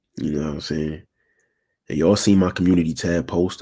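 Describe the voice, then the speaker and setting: The tone is dark and mellow. The intonation stays fairly even. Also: man. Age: 20s. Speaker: relationship advice streamer. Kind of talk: live stream talk. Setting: live stream. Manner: casual.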